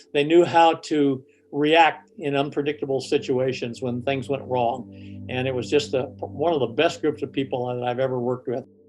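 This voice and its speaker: Over music in the background, a man talks at a moderate pace and medium pitch with ordinary pitch variation and hardly any pauses. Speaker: war veteran, fighter pilot. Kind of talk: interview testimony. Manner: hesitant, many fillers.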